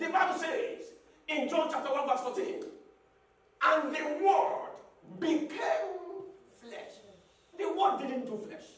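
A man shouts at an extremely high pitch and a fairly slow pace. Long, frequent pauses break it up, and room echo is audible. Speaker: pastor. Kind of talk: sermon. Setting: church with congregation. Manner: call-and-response preaching, repeating key phrases, urging the congregation to shout back; emphatic, rhythmic, rising to exhortation and closing with fervent prayer. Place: church.

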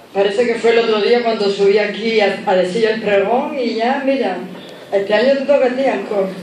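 A woman speaks at a fairly high pitch and a moderate pace with fairly even intonation. Light background noise and audible room echo are present. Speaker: presenter introducing the festival speaker. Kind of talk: formal introduction speech read aloud. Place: hall. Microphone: podium.

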